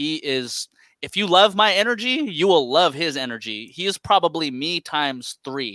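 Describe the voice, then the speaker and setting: Bright and sharp in tone, a man with an American accent speaks at a moderate pace and a fairly high pitch with very wide pitch swings, on a very clean recording with a silent background and a dry, close sound with no echo. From San Francisco, California. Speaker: podcast co-host and interviewer. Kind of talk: casual chat.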